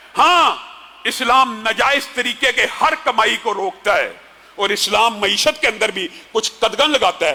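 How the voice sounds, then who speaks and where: A man talks in a raised, projected voice at an extremely high pitch with lively intonation. Noticeable background noise can be heard. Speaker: Islamic preacher giving a Friday sermon. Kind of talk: Friday sermon (khutba) delivered in Urdu.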